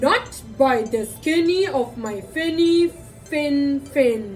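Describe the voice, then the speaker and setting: A woman uses a put-on character voice at a very slow pace. Clear music plays in the background. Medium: read story.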